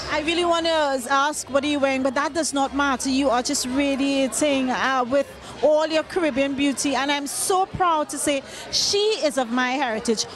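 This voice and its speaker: A Trinidadian accent at a moderate pace, very even loudness and ordinary pitch variation, with noticeable background noise. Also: woman, high pitch for a woman. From Trinidad and Tobago. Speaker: entertainment interviewer. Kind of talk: red carpet interview. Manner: animated.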